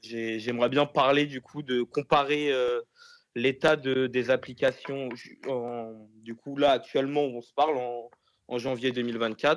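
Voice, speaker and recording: A man talks at medium pitch and a fairly slow pace. His intonation is monotone and flat, and the sound is dry and close with no echo. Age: 20s. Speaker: private hire driver. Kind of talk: casual interview.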